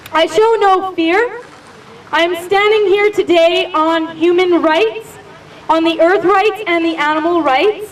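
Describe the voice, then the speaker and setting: Over noticeable background noise, a woman with an extremely high pitch talks at a fairly slow pace with fairly even intonation. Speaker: activist and mayoral candidate. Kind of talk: protest speech. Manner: loud.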